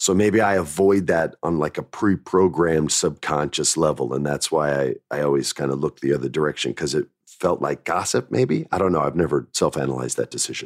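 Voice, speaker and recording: A man with a very deep, low voice and vocal fry talks at a fairly quick pace. His pitch varies in an ordinary way, and the sound is dry and close with no echo. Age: 40s. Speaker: former wrestling writer. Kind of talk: casual storytelling.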